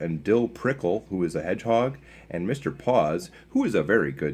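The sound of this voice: The intonation moves in a lively way. The reading voice sounds unforced.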